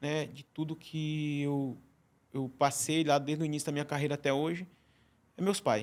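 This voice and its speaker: A man with a Ceará accent, fairly high pitch, moderate pace and fairly even intonation. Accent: Ceará accent, still noticeable. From Ceará, Brazilian Northeast. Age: 40s. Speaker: chef. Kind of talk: podcast interview. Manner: halting, many repetitions.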